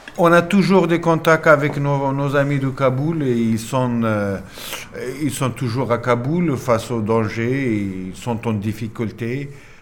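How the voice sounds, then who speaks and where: Against noticeable background noise, a man with a Pashto accent speaks at a very slow pace with ordinary pitch variation. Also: medium pitch for a man. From Afghanistan, Nangarhar. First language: Pashto (speaking French). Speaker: former military interpreter. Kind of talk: interview testimony.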